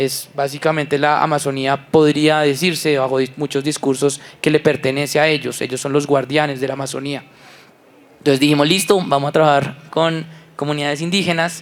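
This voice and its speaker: A man's fairly high, monotone voice at a fairly quick pace, with a Bogotá accent. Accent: Bogotá rolo. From Colombia, Bogotá. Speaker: environmental entrepreneur. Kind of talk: panel discussion.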